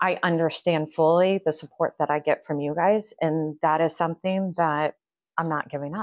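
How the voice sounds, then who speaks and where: This woman talks at a moderate pace with a fairly low pitch and monotone, flat intonation. The sound is dry with no echo, over a quiet background. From Kansas, then northern Virginia. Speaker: real estate agent and team leader; guest. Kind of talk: casual interview. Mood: earnest, warm. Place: office.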